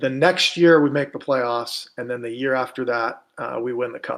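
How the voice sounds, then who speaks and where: A man at a moderate pace with fairly even intonation, very cleanly recorded against a silent background. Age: 40s. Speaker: retired pro hockey player. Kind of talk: casual podcast interview. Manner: halting, repetitive starts.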